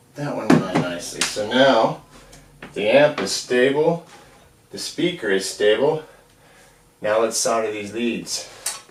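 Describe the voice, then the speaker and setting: A man speaks in a relaxed tone with lively intonation and big swings in loudness. He pauses long and often, with noticeable background noise. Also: medium pitch for a man, fairly slow pace. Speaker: hobbyist amp repair video maker. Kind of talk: tutorial. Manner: casual, relaxed.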